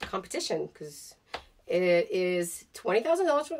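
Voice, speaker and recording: A woman speaks at a fairly slow pace in an animated tone. Her pitch swings very widely. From Russia. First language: Russian. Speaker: vlogger. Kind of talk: casual chat. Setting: home basement studio.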